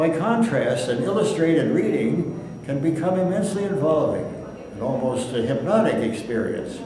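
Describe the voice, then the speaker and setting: A man speaks with lively intonation. There is noticeable background noise. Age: 80s+. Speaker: minister. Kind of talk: memoir reading.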